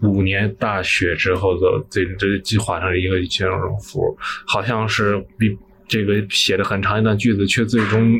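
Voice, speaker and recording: Fairly slow, fairly even intonation from a man. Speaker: recent graduate. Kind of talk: casual chat.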